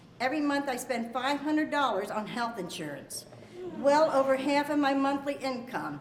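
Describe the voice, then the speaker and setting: Amid noticeable background noise and audible room echo, a woman with an American accent speaks at a fairly quick pace, her high pitch carrying fairly even intonation. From Pennsylvania, Allentown. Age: 60s. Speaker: retired garment worker. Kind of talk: testimony.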